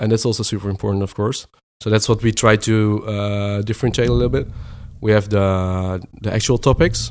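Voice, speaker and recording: A man's fairly low voice with a Dutch accent and ordinary pitch variation. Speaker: product manager. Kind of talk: interview. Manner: halting.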